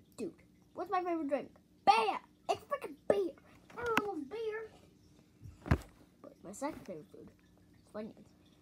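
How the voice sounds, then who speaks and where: In a cartoonish character voice, the speaker moves at a moderate pace with very wide pitch swings and long, frequent pauses. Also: man, extremely high pitch for a man. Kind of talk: puppet interview answers. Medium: puppet. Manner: loud, excitable.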